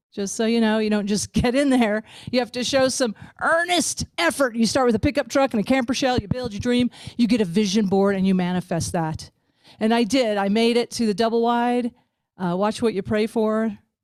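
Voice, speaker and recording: At a fairly quick pace, a woman with a fairly high voice and a slight Ozark accent speaks in an animated tone with ordinary pitch variation, the sound dry and close with no echo. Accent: slight Ozark twang. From US South, Ozarks. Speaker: comedian. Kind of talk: stand-up. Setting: video call.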